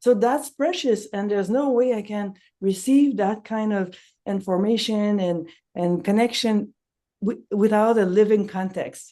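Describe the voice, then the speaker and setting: A woman with a non-native accent and a dark, mellow tone talks at a moderate pace with long, frequent pauses. Her pitch is fairly high with ordinary variation, over a quiet background. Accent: noticeable non-native accent in English. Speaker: nonviolent communication trainer. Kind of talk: casual promotional chat.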